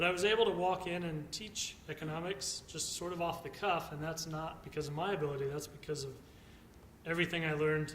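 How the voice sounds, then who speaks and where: Speaking with an American accent, a man uses a fairly high pitch and fairly even intonation. His pace is fairly quick, and room echo is audible. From Texas. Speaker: economics lecturer. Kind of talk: conference talk.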